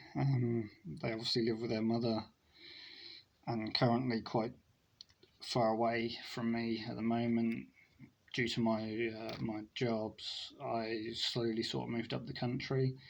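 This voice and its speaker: The voice moves at a fairly slow pace with monotone, flat intonation and long, frequent pauses. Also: man, medium pitch for a man. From East Anglia, England (Norfolk/Suffolk). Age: 30s. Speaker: vlogger, gardener and former pig farmer. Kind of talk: casual vlog monologue. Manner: hesitant, many fillers.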